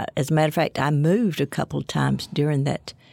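Recorded very cleanly with a silent background and a dry, close sound with no echo, a woman with an Alabama accent speaks at a fairly quick pace. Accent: Southern US (Alabama). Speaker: author and former professor. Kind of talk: interview. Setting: studio.

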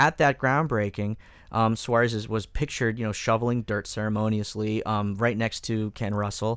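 The delivery comes at a moderate pace with fairly even intonation. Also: man, medium pitch for a man. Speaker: newspaper investigative reporter. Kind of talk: radio panel discussion. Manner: halting, many filler words.

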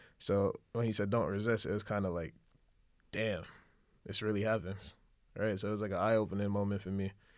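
In a New York accent, a man with a fairly low pitch talks at a fairly quick pace in a flat monotone, leaving long, frequent pauses, in a very clean recording with a silent background. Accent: New York City. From Brooklyn, New York. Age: 20s. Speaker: fashion event co-founder. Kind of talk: casual interview.

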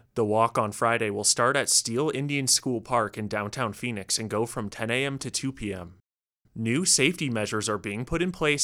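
On a very clean recording with a silent background, a man speaks at a moderate pace. His tone is bright and sharp, with medium pitch and ordinary pitch variation. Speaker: radio news anchor. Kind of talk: formal newsreading, scripted local radio news bulletin. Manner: formal, measured, steady and even-paced; neutral, authoritative delivery.

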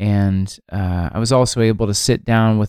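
An unremarkable speaking voice from a man at a fairly low pitch, with fairly even intonation, in a very clean recording with a silent background and a dry, close sound with no echo. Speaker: podcast host and songwriter. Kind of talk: podcast hosting, interview narration.

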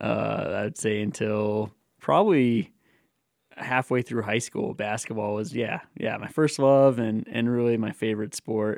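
Here is an unremarkable speaking voice from a man with an American accent, medium in pitch with ordinary pitch variation. He talks at a fairly slow pace on a very clean recording with a silent background. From Colorado, US. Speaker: mountain runner. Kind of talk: interview.

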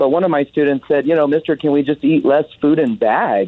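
A man talks at a fairly quick pace in an unremarkable speaking voice. His pitch varies in an ordinary way. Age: 30s. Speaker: middle school garden teacher. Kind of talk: radio call-in.

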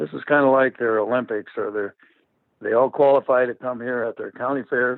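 A man with an American accent and a normal speaking voice, medium in pitch, at a fairly quick pace with fairly even intonation. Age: 60s. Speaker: fair board president. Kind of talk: interview answers. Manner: relaxed, conversational, with filler uh.

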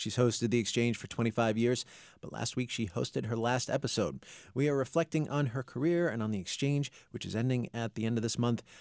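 On a very clean recording with a silent background, a man talks at a fairly quick pace in an ordinary speaking voice. His pitch is medium with ordinary pitch variation, and the sound is dry and close with no echo. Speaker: radio host. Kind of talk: interview. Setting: studio.

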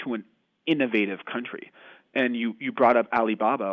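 A man with an American accent and an ordinary speaking voice, medium pitch, moderate pace and ordinary pitch variation. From United States. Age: 20s. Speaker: author. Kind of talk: interview.

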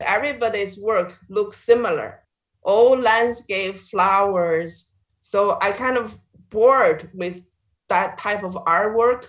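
A woman with a Chinese accent speaks at a very slow pace. Her pitch is medium, with ordinary pitch variation. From China. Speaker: visual artist. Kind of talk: interview. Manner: halting, with fillers.

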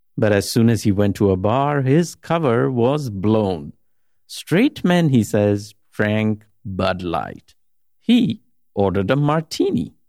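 Very slowly and at a very even loudness, a man with a dark, mellow tone and fairly low pitch speaks with very wide pitch swings over a very clean, silent background. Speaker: radio host. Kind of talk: scripted radio narration with interview clips.

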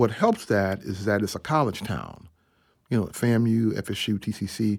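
A man with an American accent talks at a fairly slow pace in a fairly low pitch. It is a plain, everyday voice, heard in a very clean recording with a silent background. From US South, Atlanta, Georgia. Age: 50s. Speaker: jazz trumpeter and professor. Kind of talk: interview.

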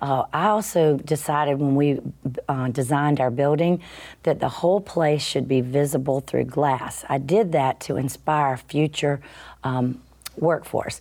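A woman with a very deep, low pitch and a dark, mellow tone speaks in a Southern US accent at a fairly slow pace. Her loudness stays very even, her pitch varies in an ordinary way, and the recording is very clean with a silent background. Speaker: company CEO. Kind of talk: radio interview.

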